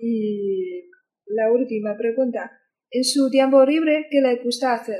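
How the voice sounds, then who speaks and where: A woman at a high pitch with a dark, mellow tone, very slow pace and ordinary pitch variation. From China, Qingdao. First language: Chinese (speaking Spanish). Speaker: student interviewer. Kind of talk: interview.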